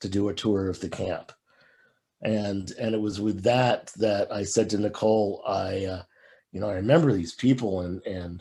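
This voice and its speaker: At a moderate pace, a man speaks with a dark, mellow tone and a fairly low pitch. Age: 60s. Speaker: film director. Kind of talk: panel discussion. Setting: video call. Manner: halting.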